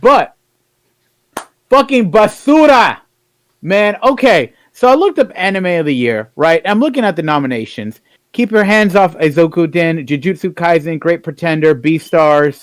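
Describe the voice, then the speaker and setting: An animated, high-pitched man's voice at a moderate pace, with very wide pitch swings. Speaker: podcast co-host. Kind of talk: casual chat.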